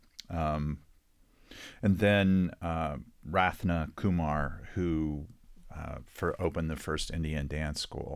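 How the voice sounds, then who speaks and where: In a very clean recording with a silent background, a man with a slight West Texas accent speaks at a very slow pace in a very deep, low pitch, his intonation fairly even and broken by long, frequent pauses. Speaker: children's book author. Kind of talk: interview.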